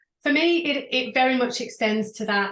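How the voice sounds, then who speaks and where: A woman is speaking. She has a British accent. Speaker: business coach. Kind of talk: interview.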